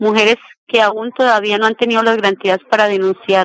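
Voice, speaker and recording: A woman speaks in a monotone with flat intonation. The sound is dry and close, with no echo. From Colombia, Meta (Granada). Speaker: social activist. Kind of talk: interview testimony. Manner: formal.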